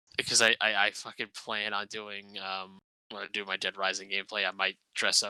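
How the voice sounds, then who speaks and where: Quiet and fairly low-pitched, a man speaks in a bright, sharp tone with monotone, flat intonation. The sound is dry and close, with no echo. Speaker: streamer and podcast host. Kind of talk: casual chat. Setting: at home while others sleep. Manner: quiet, holding back volume.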